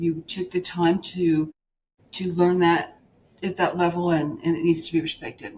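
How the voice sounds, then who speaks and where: A woman's somewhat breathy voice, fairly low-pitched, flat and monotone, at a moderate pace. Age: 50s. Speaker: podcast host. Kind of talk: interview. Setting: podcast interview.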